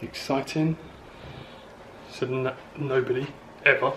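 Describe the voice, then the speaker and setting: A man with an English accent and fairly even intonation. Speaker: vlogger with chronic illness. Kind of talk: casual vlog. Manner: hesitant; whispering.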